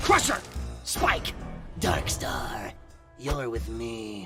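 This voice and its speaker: A low-pitched, put-on character voice at a very slow pace, with faint music in the background. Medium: actual play. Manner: theatrical, villainous.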